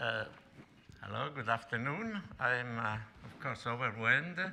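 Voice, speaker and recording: In an Italian accent, a man with a medium pitch talks at a moderate pace amid audible room echo. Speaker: professor. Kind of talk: lecture. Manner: halting.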